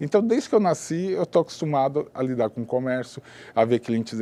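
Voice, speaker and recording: A man speaks in a dark, mellow tone at a moderate pace. His intonation is lively. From São Paulo, Brazil. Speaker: businessman. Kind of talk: interview.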